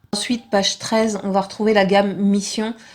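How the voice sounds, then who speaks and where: Soft-spoken, a woman talks at a fairly quick pace. Her pitch sits in the medium range. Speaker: vlogger. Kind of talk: tutorial.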